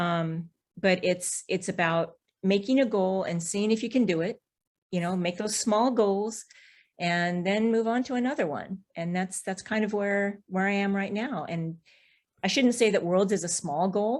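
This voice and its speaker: A normal speaking voice with an American accent talks at a fairly slow pace on a very clean recording with a silent background. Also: woman, medium pitch for a woman, ordinary pitch variation. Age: 60s. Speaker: BMX racer. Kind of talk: podcast interview.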